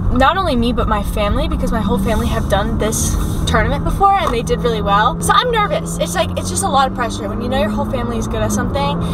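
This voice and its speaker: A woman races along at a very fast pace with hardly any pauses. Loud background noise comes through on a dry sound with no echo. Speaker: vlogger. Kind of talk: casual vlog chat. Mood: upbeat, a bit stressed. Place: car. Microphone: phone near.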